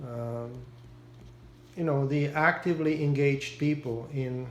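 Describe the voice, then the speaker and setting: In a Czech accent, a man speaks fairly slowly at a medium pitch with fairly even intonation, and the room echo is audible. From Czechoslovakia (Prague). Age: 70s. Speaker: war survivor interviewee. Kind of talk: interview. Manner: halting.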